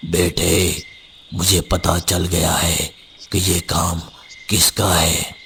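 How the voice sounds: In a cartoonish character voice, a man speaks raspy, very deep and low, fairly slowly and in a monotone, flat intonation, with very even loudness and long, frequent pauses against clear background noise.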